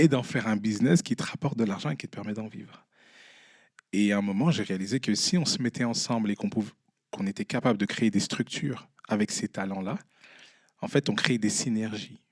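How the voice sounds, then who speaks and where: Animated and fairly quick, a man speaks with fairly low pitch and ordinary pitch variation, leaving long, frequent pauses. The sound is dry and close, with no echo. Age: 20s. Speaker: entrepreneur and artist. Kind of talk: live podcast interview. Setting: stage with live audience. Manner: animated, addresses the audience.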